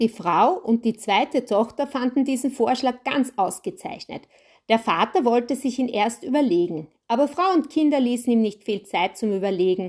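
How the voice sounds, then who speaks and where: A woman's high-pitched voice with lively intonation and very even loudness, at a moderate pace over a quiet background. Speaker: podcast host and storyteller. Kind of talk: storytelling narration.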